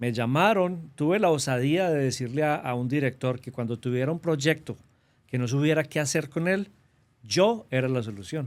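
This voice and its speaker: A man speaks with a strong paisa Colombian accent at a moderate pace, his intonation lively. His pitch is fairly high, and the recording is very clean with a silent background. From Colombia, Antioquia (paisa region). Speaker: government trade representative. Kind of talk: interview.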